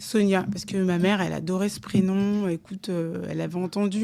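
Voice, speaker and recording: A woman of medium pitch speaks with monotone, flat intonation and hardly any pauses. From DR Congo, Kinshasa; also lived in Angola, Senegal, Mali. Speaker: entrepreneur and project director. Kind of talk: casual chat. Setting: her home.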